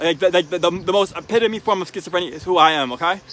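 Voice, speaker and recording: A man talks at a very fast pace in a raised, projected voice with ordinary pitch variation, captured with a dry, close sound and no echo. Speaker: video blogger with schizophrenia. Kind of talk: casual chat. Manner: halting, repeats words.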